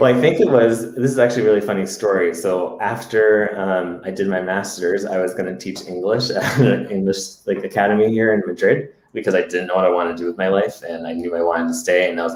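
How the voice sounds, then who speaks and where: Over noticeable background noise, a man with an American accent talks at a very fast pace. He speaks in a fairly low pitch with hardly any pauses. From US, Massachusetts. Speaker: podcast co-host. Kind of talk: casual chat. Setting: live Facebook video stream.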